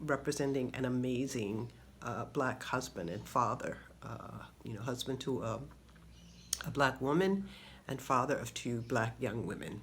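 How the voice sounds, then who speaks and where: This speaker has an American accent and vocal fry, with ordinary pitch variation. The pace is moderate, broken by long, frequent pauses. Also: woman, very deep, low pitch for a woman. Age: 60s. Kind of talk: personal video commentary. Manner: halting, with many fillers.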